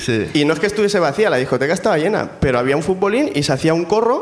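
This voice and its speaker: The man's intonation is lively, and noticeable background noise can be heard behind him. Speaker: comedy scriptwriter. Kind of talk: storytelling on stage. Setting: stage with audience.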